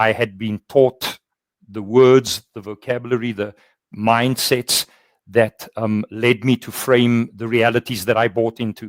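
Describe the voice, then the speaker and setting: This man talks at a fairly slow pace in a monotone, flat intonation. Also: medium pitch for a man, dry, close sound with no echo. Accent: South African. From South Africa. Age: 60s. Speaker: workplace culture consultant. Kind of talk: webinar conversation.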